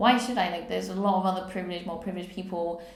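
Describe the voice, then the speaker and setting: A woman's medium-pitched voice in an English accent, fairly even in intonation, with audible room echo. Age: 30s. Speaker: poet and vlogger. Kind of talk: personal testimony vlog. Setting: solo camera recording.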